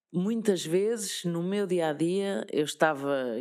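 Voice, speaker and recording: In a Lisbon accent, a woman talks at a fairly low pitch with ordinary pitch variation on a very clean recording with a silent background. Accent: European Portuguese, Lisbon. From Lisbon, Portugal. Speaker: radio presenter. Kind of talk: interview answer. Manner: upbeat, positive.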